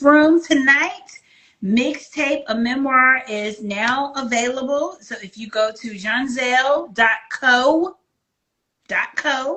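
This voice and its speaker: A high-pitched woman's voice with an American accent and ordinary pitch variation. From Virginia. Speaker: book channel host. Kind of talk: interview.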